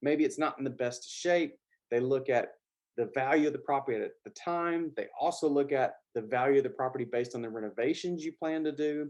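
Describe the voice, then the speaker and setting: Fairly quick and fairly high-pitched, a man speaks with a Southern US accent. His intonation is fairly even, and the background is quiet. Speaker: business finance educator. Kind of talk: tutorial. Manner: casual, with filler words.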